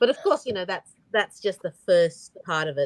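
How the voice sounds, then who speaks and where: A woman with an Australian accent, dry and close with no echo. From Australia, Brisbane, Queensland. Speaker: author. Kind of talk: video chat interview. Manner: hesitant, many fillers.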